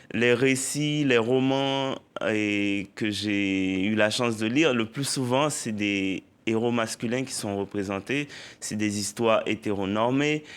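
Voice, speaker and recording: A man speaks at a very slow pace in a medium pitch with ordinary pitch variation. The recording is very clean, with a silent background. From Haiti. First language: Haitian Creole (speaking French). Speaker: poet and novelist. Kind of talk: TV interview.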